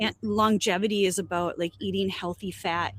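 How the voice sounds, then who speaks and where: A woman's medium-pitched voice with vocal fry and fairly even intonation, dry and close with no echo. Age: 50s. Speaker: educator and company co-founder. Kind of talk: casual chat.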